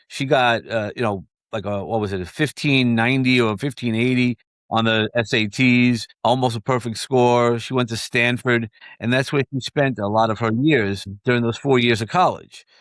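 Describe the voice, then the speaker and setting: With a slight New York accent, a man speaks at a medium pitch. His pace is moderate and his intonation fairly even. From New York, Brooklyn. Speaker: mentor and book publisher. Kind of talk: interview conversation. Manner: halting, many fillers and repeats.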